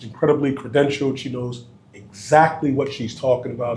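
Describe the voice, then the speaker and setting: Audible room echo surrounds a man with an American accent who talks at a fairly quick pace. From US Northeast. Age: 40s. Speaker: podcast host. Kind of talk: casual interview.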